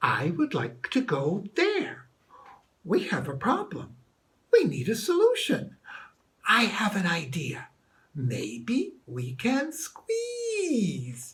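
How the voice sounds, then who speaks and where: In a cartoonish character voice, a man speaks very slowly at a high pitch with a gentle tone. Long, frequent pauses break up his speech. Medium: puppet. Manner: polite, gentle.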